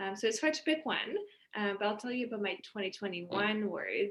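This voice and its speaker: In a French accent, a woman speaks at a medium pitch. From France. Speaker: communications professional. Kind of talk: casual interview.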